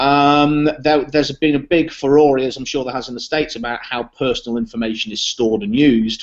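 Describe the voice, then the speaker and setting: With a British accent and a fairly high pitch, a man speaks at a fairly quick pace with hardly any pauses. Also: ordinary pitch variation. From Britain. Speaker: software product co-creator. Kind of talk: casual interview.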